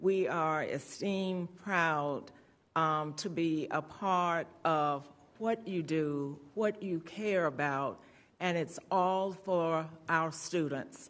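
A woman talks at a very slow pace with a fairly low pitch and ordinary pitch variation. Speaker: school board member, former principal. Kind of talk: board meeting remarks. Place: meeting room. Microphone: podium.

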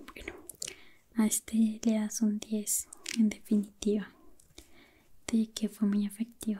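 Speaking at a very slow pace with long, frequent pauses, a woman has a somewhat breathy voice and monotone, flat intonation over light background noise. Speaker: ASMR creator playing a doctor. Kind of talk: soft-spoken ASMR role-play. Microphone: studio mic.

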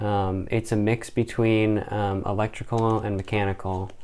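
A man speaks at a fairly low pitch in a monotone, flat intonation. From Louisville, Kentucky; Kentucky. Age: young. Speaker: engineering student; podcast guest or host. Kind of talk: casual chat. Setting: dorm room. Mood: relaxed casual. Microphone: studio mic.

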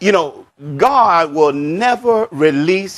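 At a very slow pace, the voice moves through very wide pitch swings. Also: man. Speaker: pastor. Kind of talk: sermon. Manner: unhurried. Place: church. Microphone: lapel.

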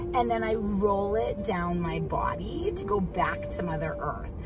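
A woman's voice over clear music in the background. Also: dry sound with no echo. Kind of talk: casual vlog chat, guided instruction. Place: car. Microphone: phone near.

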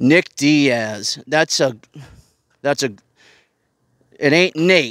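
Over a quiet background, a man with a Boston accent speaks at a fairly high pitch with ordinary pitch variation. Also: dry sound with no echo. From Boston, South Boston. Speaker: online show host, ex-prisoner. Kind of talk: casual solo livestream monologue. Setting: live stream with lapel mics. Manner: animated. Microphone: headset.

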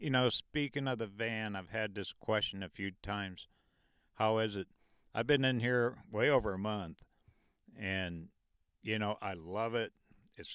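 At a fairly slow pace, a man with a fairly low pitch speaks with long, frequent pauses and ordinary pitch variation, the sound dry with no echo over a quiet background. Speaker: travel vlogger. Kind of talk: casual vlog chat. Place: car. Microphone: handheld.

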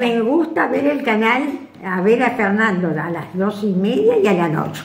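The delivery moves at a fairly slow pace. There is audible echo from the room. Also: woman, fairly high pitch for a woman, lively intonation. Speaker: great-great-grandmother. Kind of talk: interview answer. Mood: warm, smiling. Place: home room.

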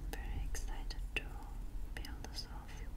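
A woman talks at a fairly slow pace. Loud background noise runs underneath. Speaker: ASMR creator. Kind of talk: ASMR roleplay, personal attention.

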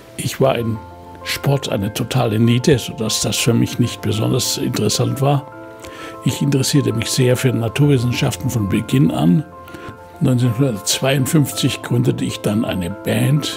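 A man speaks at a moderate pace with a medium pitch and ordinary pitch variation. Clear music plays in the background. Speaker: Nobel laureate chemist. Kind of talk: interview answer. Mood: warm, reflective, smiling. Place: home room.

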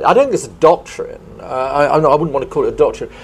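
A man in a southern English accent speaks at a very fast pace. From southern England, Kent; southern England. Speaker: professor of international relations; speaker. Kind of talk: panel discussion. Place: hall. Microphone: lapel.

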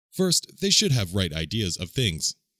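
In a very clean recording with a silent background, a man with an ordinary speaking voice talks at a moderate pace and a fairly low pitch. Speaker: narrator. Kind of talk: language-learning phrase reading.

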